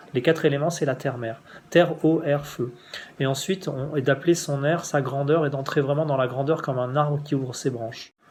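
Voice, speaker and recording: A man talks at a fairly quick pace in a fairly high, somewhat breathy voice. His intonation stays fairly even. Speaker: spiritual teacher. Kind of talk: spiritual instruction. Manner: fast; halting.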